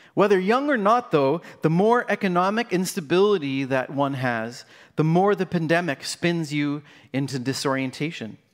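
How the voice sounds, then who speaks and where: With lively intonation and a high pitch, a man talks at a moderate pace in a very clean recording with a silent background. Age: 40s. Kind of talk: sermon.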